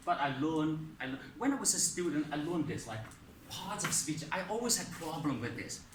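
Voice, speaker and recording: A man projects a raised voice with lively intonation at a moderate pace. Audible room echo and noticeable background noise surround him. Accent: non-native. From outside English-speaking world. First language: not English. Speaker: English teacher. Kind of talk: lesson. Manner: hesitant, many fillers.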